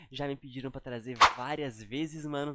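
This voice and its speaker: A man's voice with light background noise and a dry sound with no echo. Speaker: YouTube reactor. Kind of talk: casual chat. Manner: animated. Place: home room. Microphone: headset.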